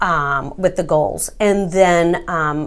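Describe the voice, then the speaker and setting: A woman at medium pitch with an American accent, on a very clean recording with a silent background. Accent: Texan, joked about. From Texas. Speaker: real estate agent. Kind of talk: interview.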